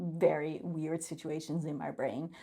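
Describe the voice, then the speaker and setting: A woman's very deep, low voice with a Dutch accent and vocal fry, at a fairly slow pace. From Netherlands. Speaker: vlogger. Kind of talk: casual monologue. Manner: halting.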